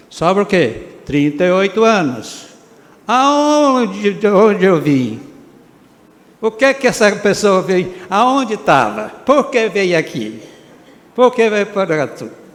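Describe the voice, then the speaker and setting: Over noticeable background noise, a man with a high pitch talks very slowly with lively intonation and long, frequent pauses. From Brazil, Minas Gerais (Prata). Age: 80s+. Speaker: retired doctor honored at civic ceremony. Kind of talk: acceptance speech. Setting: council chamber ceremony. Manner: halting.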